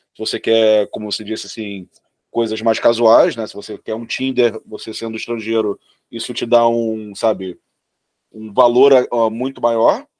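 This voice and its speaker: A man talks in a normal speaking voice at a fairly slow pace, medium-pitched with fairly even intonation, in a dry, close sound with no echo. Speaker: podcast co-host. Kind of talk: podcast interview.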